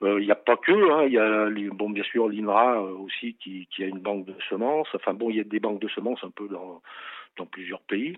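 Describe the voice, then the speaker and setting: The speaker talks at a moderate pace with ordinary pitch variation. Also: man. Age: 60s. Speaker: farmer. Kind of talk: interview. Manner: halting.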